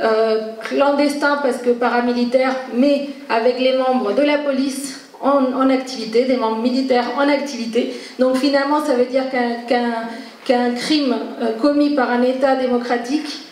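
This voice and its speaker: A woman speaks in a high, flat monotone at a moderate pace, her loudness very even. Noticeable background noise and audible room echo surround her. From Argentina. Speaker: activist. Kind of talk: panel talk. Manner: halting, many hesitations.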